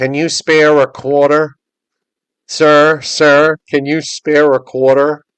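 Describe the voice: A man's put-on character voice, nasal and fairly high in pitch, at a very slow pace with monotone, flat intonation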